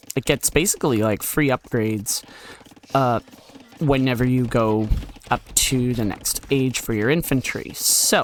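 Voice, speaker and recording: Noticeable noise runs in the background. The speech unfolds at a fairly slow pace. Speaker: gaming commentator. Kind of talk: gameplay commentary. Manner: casual.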